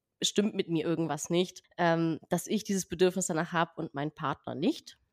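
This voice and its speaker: In a dry, close sound with no echo, a woman talks in an ordinary speaking voice at a moderate pace with ordinary pitch variation. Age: 20s. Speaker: podcast guest. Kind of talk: casual interview.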